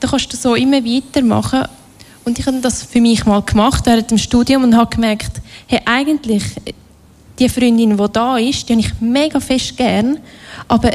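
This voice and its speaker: A woman with a fairly high pitch talks at a moderate pace with fairly even intonation and long, frequent pauses. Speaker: workshop leader. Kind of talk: workshop talk.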